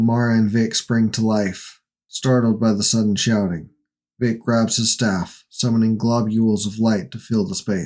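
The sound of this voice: An unforced reading voice plays out over a quiet background.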